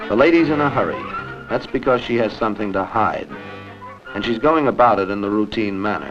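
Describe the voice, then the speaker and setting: Over music in the background, a man speaks fairly quickly at a fairly low pitch with ordinary pitch variation. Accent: American. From United States. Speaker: TV host and journalist. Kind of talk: TV documentary narration. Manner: wry, conversational.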